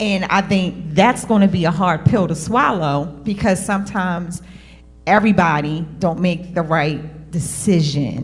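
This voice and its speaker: There is music in the background as a woman speaks at a fairly slow pace. Her pitch is fairly low, with ordinary variation. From Cherry Hill, New Jersey. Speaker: panelist. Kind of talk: panel discussion.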